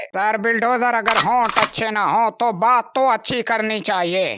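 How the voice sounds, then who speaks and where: A man uses a cartoonish character voice, raised and projected, at a high pitch. He speaks at a moderate pace. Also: fairly even intonation. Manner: deferential, addresses everyone as sahib.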